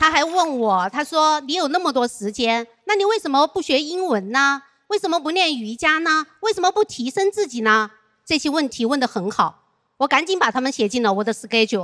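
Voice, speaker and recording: In a dry, close sound with no echo, a woman speaks at a high pitch in a bright, sharp tone, with very wide pitch swings, big swings in loudness and hardly any pauses. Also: moderate pace. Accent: Sichuan. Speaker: stand-up comedian. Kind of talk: stand-up.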